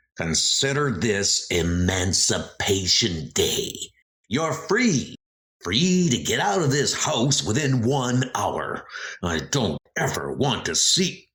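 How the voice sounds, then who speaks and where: A man's raspy, put-on character voice, medium in pitch and very slow. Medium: dub.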